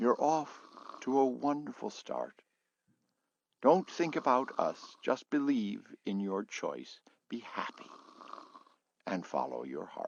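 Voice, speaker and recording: A man's put-on character voice, fairly high-pitched and shaky, at a fairly slow pace with long, frequent pauses. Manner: tender, encouraging.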